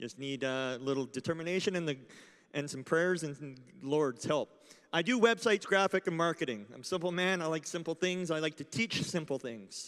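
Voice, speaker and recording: A man with a Canadian accent and an unremarkable speaking voice talks at a fairly quick pace, fairly high in pitch, with big swings in loudness. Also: lively intonation. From Canada. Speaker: conference speaker. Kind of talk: talk to live audience.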